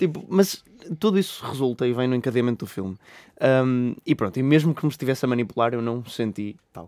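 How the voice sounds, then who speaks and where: In a European Portuguese accent, a man talks with a dark, mellow tone at medium pitch. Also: fairly quick pace. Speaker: film podcast co-host. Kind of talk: casual chat. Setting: studio.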